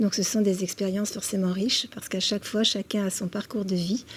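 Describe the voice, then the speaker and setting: A somewhat breathy woman talks fairly quickly at a medium pitch, keeping her intonation fairly even. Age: 60s. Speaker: senior model. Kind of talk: TV interview.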